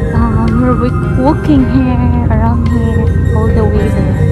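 Over loud background music, a man speaks at a fairly slow pace in a dry sound with no echo. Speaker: travel vlogger. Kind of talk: casual vlog chat. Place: street. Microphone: phone near.

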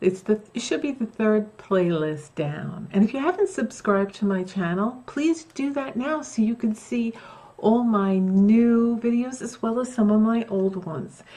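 A woman's lively intonation comes through as she talks at a fairly slow pace. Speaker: craft vlogger. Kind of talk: casual vlog chat. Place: home room.

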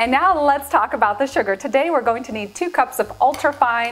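Faint music plays in the background. A woman speaks fairly quickly in a high pitch. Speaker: cooking show host. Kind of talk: tutorial. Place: kitchen. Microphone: lapel.

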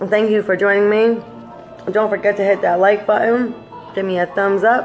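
Faint music plays in the background as a woman speaks at a moderate pace with fairly even intonation. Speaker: vlogger. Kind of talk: casual vlog chat, mukbang. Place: home room. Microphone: phone near.

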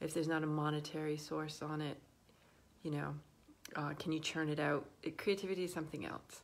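A woman speaks with a very deep, low pitch in a monotone, flat intonation. Long, frequent pauses break up her words. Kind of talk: casual vlog chat. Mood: warm, relaxed. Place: home room. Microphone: phone near.

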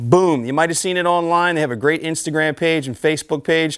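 A man's pitch varies in an ordinary way over a quiet background. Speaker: TV fishing show host. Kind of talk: promotional host presentation. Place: shop. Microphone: lapel.

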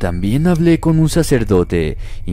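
A man speaks at a fairly slow pace in a solemn, dramatic tone. His pitch swings very widely. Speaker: horror story narrator. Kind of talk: scripted horror story narration, first-person ghost tales read aloud. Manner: slow, hushed and suspenseful, with dramatic pauses and a tense, eerie tone; solemn and deliberate, building dread toward the frightening moments.

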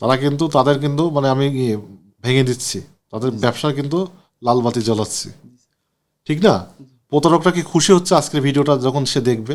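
A man speaks in a fairly high pitch with ordinary pitch variation. He has a plain, everyday voice. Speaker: doctor consulting a patient on camera. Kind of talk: on-camera doctor consultation.

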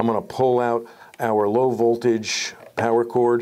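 Slightly mellow in tone, a man speaks at a fairly slow pace with little pitch movement. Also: medium pitch for a man.

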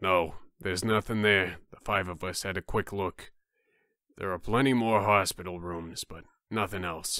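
A man puts on a character voice pitched very deep and low, talking at a moderate pace. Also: very clean recording, silent background. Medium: game stream. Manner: formal, composed.

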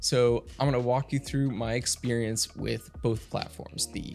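A man speaks fairly slowly, with faint music in the background. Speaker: tech reviewer. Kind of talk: product review commentary. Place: studio. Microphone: studio mic.

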